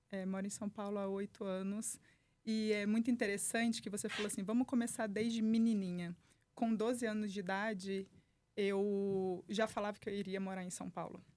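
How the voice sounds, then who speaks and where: With monotone, flat intonation, this woman keeps a moderate pace. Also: medium pitch for a woman. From Brazil, Volta Redonda, interior of Rio de Janeiro state. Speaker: entrepreneur and human performance specialist. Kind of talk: podcast interview.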